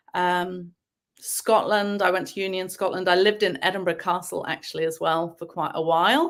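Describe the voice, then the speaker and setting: In an English accent, a woman talks at a medium pitch. The recording is very clean, with a silent background. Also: fairly even intonation. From England (boarding school from age seven). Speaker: novelist. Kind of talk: interview.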